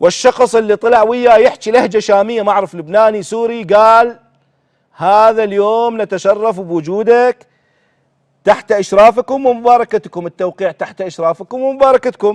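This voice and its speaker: A man speaks in a high, animated voice at a moderate pace. The sound is dry and close, with no echo. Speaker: TV show host. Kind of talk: political commentary; reading aloud. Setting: TV studio.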